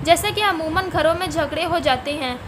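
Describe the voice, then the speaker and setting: A woman with an extremely high-pitched voice projects loudly over noticeable background noise, her intonation fairly even. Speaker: voiceover narrator. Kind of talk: urdu story narration.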